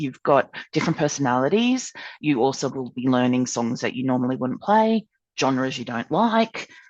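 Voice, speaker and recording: A woman speaks with an Australian accent. Her pitch swings very widely at a fairly quick pace. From Australia, Townsville. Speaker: ukulele club member. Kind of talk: podcast interview. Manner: loud; animated.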